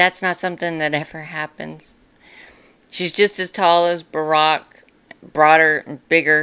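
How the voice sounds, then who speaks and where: A woman's raspy, very deep, low voice with a bright, sharp tone at a fairly slow pace. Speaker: YouTuber. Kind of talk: casual commentary to camera. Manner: halting, filler-heavy.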